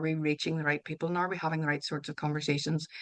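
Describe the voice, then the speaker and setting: This woman has a fairly low voice and a Northern Irish accent. The background is quiet. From Northern Ireland. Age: 50s. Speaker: author and wellbeing coach. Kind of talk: interview conversation. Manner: hesitant, with fillers and restarts.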